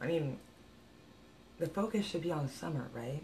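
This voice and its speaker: A woman with a very deep, low pitch and a dark, mellow, somewhat breathy tone speaks with ordinary pitch variation over light background noise. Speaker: psychic medium vlogger. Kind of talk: casual vlog chat, opinion rant. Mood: exasperated, critical. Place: home room.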